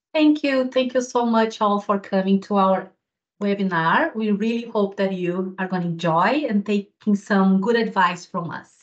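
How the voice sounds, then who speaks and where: Speaking at a moderate pace with a Brazilian accent, a woman uses a medium pitch with ordinary pitch variation. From southern Brazil, Rio Grande do Sul. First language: Portuguese. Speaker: physiotherapy lecturer. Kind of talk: webinar presentation.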